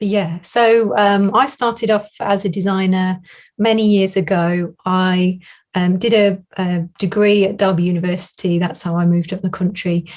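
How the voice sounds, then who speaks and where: In a very clean recording with a silent background, a woman with a southern English accent speaks at a moderate pace, at medium pitch and with fairly even intonation. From southern England, Northamptonshire. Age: 40s. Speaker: design business coach. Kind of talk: interview.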